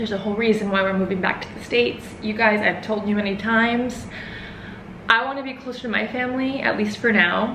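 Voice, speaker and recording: A woman with an American accent talks at a fairly quick pace in a fairly high pitch, her intonation fairly even. Her loudness swings widely, with noticeable background noise behind her. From Houston, Texas. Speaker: vlogger. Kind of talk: casual vlog to camera. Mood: emotional, nostalgic. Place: home room. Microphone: camera far.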